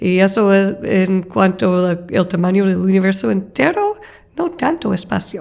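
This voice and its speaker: A woman with an American accent speaks at a fairly slow pace in a medium pitch, with ordinary pitch variation and noticeable background noise. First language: English (speaking Spanish). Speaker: astrophysicist, professor. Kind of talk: interview. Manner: hesitant, with fillers.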